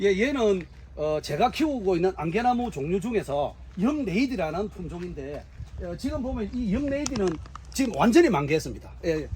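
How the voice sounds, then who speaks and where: A man's high voice swings very widely in pitch as he talks at a moderate pace. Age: 60s. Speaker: tree farmer and horticulture instructor. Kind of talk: on-site interview. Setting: outdoors on farm. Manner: halting, many fillers.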